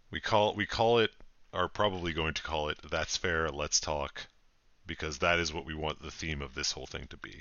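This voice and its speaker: This man's voice is very deep and low, with vocal fry. He speaks at a moderate pace with ordinary pitch variation. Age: 30s. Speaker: podcast co-host. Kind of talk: casual chat.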